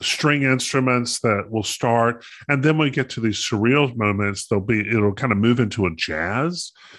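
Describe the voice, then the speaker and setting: Against a quiet background, a man speaks at a moderate pace, his medium pitch showing ordinary variation. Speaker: podcast co-host. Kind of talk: casual chat. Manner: halting.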